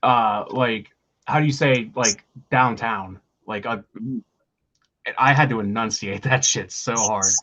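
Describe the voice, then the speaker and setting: A man talks at a fairly slow pace with long, frequent pauses. His medium-pitched voice has a bright, sharp tone and fairly even intonation. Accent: Pittsburgh. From Pittsburgh, Pennsylvania. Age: 30s. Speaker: rock band vocalist. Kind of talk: casual interview chat.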